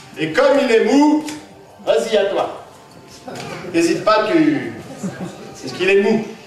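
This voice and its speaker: The man speaks at a very slow pace with very wide pitch swings. There is audible room echo and light background noise. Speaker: clown and magician. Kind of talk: live children's magic show patter. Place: hall. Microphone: camera far.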